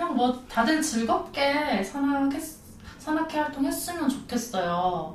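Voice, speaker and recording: Through noticeable background noise and audible room echo, a woman speaks very slowly at a high pitch with very wide pitch swings. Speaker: hiking club member. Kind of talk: casual chat.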